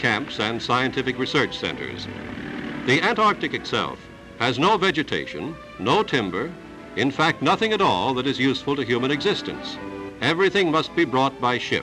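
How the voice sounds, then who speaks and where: A man at medium pitch and a moderate pace, his pitch swinging very widely, with music in the background. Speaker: newsreel narrator. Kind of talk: mid-century newsreel voiceover narration. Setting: old archival film recording.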